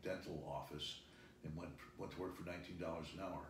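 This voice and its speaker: Amid audible room echo, a man with a very deep, low pitch talks very fast in a somewhat breathy voice with monotone, flat intonation. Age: 60s. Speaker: business executive. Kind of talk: interview.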